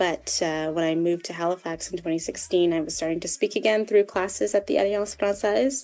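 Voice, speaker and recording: With a Canadian accent and a plain, everyday voice, a woman talks at a fairly quick pace with hardly any pauses. Her pitch is fairly low with ordinary variation, and the background is quiet. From Ottawa, Canada. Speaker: community radio program officer. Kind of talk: interview. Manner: casual.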